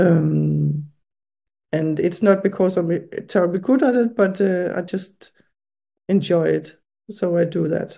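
With long, frequent pauses, a woman speaks at a very slow pace in a fairly low pitch, using ordinary pitch variation and a dark, mellow tone. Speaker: writer and artist. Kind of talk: interview. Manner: halting.

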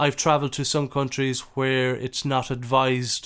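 On a very clean recording with a silent background, a man with an Irish accent speaks at a moderate pace and medium pitch. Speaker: podcast host. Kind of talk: casual interview.

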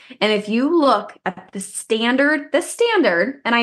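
A woman speaks at a moderate pace with lively intonation. Hers is an unremarkable speaking voice. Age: 20s. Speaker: fitness podcast co-host. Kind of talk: casual chat.

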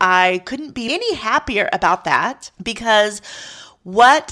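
Very slowly, a woman speaks in a bright, sharp tone on a very clean recording with a silent background. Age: 50s. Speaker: wedding photographer and podcast host. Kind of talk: solo podcast monologue.

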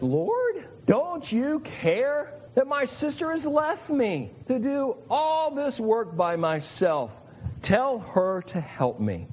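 A put-on, whiny character voice drawls at a very slow pace with a fairly high pitch.

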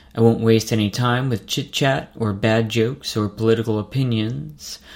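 At a moderate pace, a man talks in a medium pitch with fairly even intonation. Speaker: medical resident and podcast host. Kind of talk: scripted monologue. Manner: clear.

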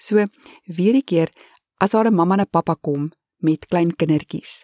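A woman speaks in a dark, mellow tone. The recording is very clean with a silent background and a dry, close sound with no echo. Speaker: immigrant vlogger. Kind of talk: informal advice talk.

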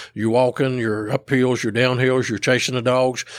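A man's medium-pitched voice with an Appalachian accent at a very fast pace. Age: 60s. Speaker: squirrel dog trainer. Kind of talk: casual chat.

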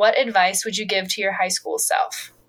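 A woman with an ordinary speaking voice talks at a moderate pace and a fairly high pitch. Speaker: podcast co-host. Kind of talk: interview conversation.

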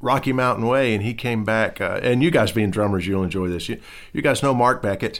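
A man speaks in an unremarkable speaking voice at a medium pitch with ordinary pitch variation. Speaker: session guitarist and musical director. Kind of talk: casual chat.

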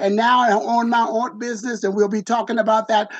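A man talks at a fairly quick pace and a high pitch, with little pitch movement.

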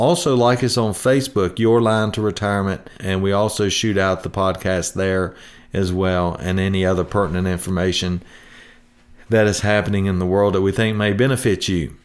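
A man with an unremarkable speaking voice talks at a moderate pace, fairly low in pitch. It is a very clean recording with a silent background. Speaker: retirement planning radio host. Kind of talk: radio pitchman patter, folksy sales pitch. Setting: podcast, recorded. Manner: upbeat, chatty, salesman-like, jokey.

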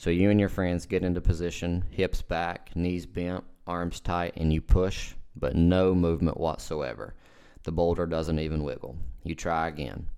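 On a very clean recording with a silent background, a man with an American accent speaks at a moderate pace in a very deep, low pitch, with a dark, mellow tone and fairly even intonation. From southwestern Virginia, near Kentucky/Tennessee border. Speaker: physical therapist and podcast host. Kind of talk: solo podcast monologue. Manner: casual.

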